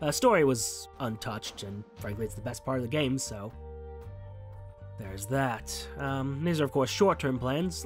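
Over music in the background, a medium-pitched man talks at a fairly quick pace with very wide pitch swings. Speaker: gaming channel host. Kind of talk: casual talk to camera. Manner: rambling.

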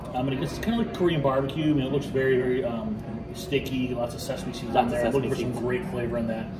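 Clear music plays behind a man talking at a very fast pace. His pitch varies in an ordinary way. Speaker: food show host. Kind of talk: commentary. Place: bar.

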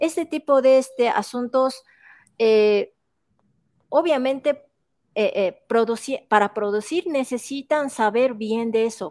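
Against a quiet background, a woman with a Japanese accent speaks very slowly at a high pitch, using ordinary pitch variation. Her speech has long, frequent pauses. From Japan, Shiga prefecture. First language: Japanese (speaking Spanish). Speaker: art professor and researcher; art professor. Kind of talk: interview. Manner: halting, many fillers. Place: home room. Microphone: earbuds.

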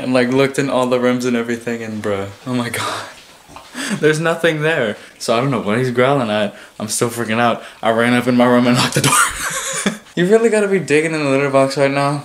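Very fast speech from a man with ordinary pitch variation, over noticeable background noise. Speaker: vlogger. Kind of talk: casual vlog chat. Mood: excited, nervous, laughing. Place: home room. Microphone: phone near.

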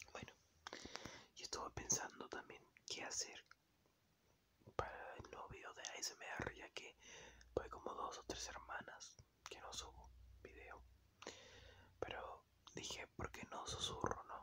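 The speaker whispers at a fairly slow pace, with long, frequent pauses. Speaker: ASMR creator. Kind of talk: ASMR whisper talk. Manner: whispered.

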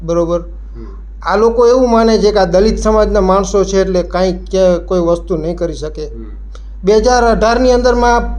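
Over noticeable background noise and audible room echo, a man speaks in a high pitch with ordinary pitch variation. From Jamnagar district, Gujarat, India. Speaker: farmer. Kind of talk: testimony.

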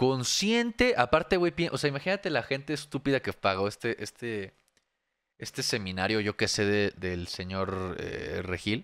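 Against a quiet background, a man at medium pitch speaks at a fairly slow pace with very wide pitch swings. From Mexico. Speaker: streamer reacting to videos. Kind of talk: casual live stream commentary. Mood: sarcastic, mocking. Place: home room. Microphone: studio mic.

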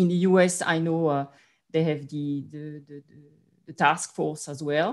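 Speech at a very slow pace has fairly even intonation and big swings in loudness, with a quiet background. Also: woman, very deep, low pitch for a woman. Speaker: finance executive; panelist. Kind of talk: panel discussion. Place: home room. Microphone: video call.

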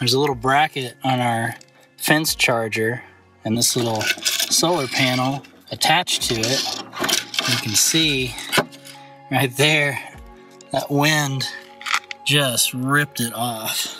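A man at a very slow pace with long, frequent pauses, fairly even intonation, a dry sound with no echo, and clear music in the background. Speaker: homesteader vlogger. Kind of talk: casual vlog chat. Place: open country. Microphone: phone near.

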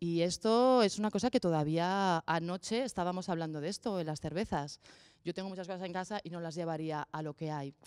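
A woman with an ordinary speaking voice talks at a fairly quick pace and a medium pitch with ordinary pitch variation over a quiet background. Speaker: panel respondent. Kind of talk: conference discussion. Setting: stage with audience. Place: hall. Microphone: podium.

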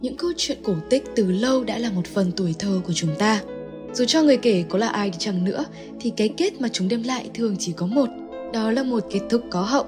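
Over music in the background, a woman with a fairly high pitch speaks at a fairly quick pace with lively intonation. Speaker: narrator. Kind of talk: game lore analysis narration.

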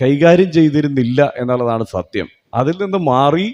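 A man with an ordinary speaking voice, pitched fairly high for a man. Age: 40s. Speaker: public speaker. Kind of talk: public speech.

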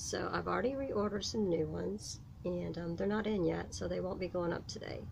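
At a moderate pace, a woman speaks with a fairly low pitch, ordinary pitch variation and vocal fry, with audible room echo.

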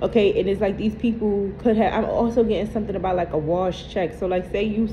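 Background noise is noticeable here. Her pitch, a woman's, shifts in an ordinary way. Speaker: tarot card reader. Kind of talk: casual reading commentary to viewers. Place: home room. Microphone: phone near.

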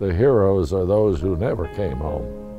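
With music in the background, a man with an American accent speaks at a fairly slow pace and ordinary pitch variation. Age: 80s+. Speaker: war veteran. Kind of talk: interview answer.

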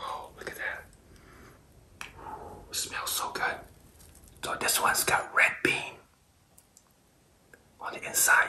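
A man whispers at a very slow pace. His speech has long, frequent pauses. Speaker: food ASMR creator. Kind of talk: ASMR eating video talk. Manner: whispered. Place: kitchen.

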